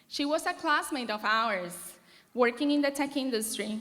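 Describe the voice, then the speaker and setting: Her voice raised and projected, a woman speaks at a fairly slow pace with a high pitch and a bright, sharp tone. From Venezuela. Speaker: marketing manager. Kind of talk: commencement speech.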